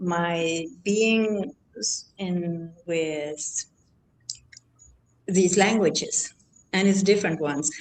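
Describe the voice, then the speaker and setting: This woman speaks with a German accent and ordinary pitch variation. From Germany. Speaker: artist. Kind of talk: casual chat. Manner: halting.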